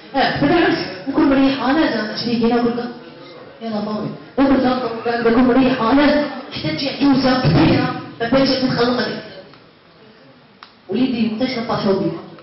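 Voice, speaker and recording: Moderate pacing broken by long, frequent pauses, ordinary pitch variation, audible room echo, and noticeable background noise. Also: man, extremely high pitch for a man. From Algeria. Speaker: YouTuber, stand-up comedian. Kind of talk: stand-up comedy set. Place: hall.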